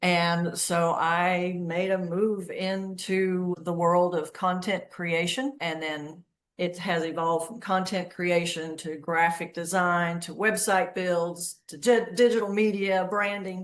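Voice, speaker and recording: Speaking very slowly with hardly any pauses, a woman with a North Florida accent uses a fairly low pitch and fairly even intonation. Her loudness swings widely, and the room echo is audible. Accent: Southern US (North Florida). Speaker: agency founder, creative strategist. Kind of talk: podcast interview.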